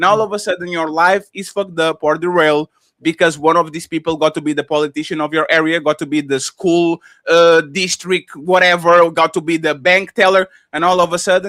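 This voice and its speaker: A man with a high pitch and a bright, sharp tone talks at a fairly quick pace. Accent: non-native. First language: not English. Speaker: panelist on a livestream talk show. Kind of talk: heated panel discussion. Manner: animated.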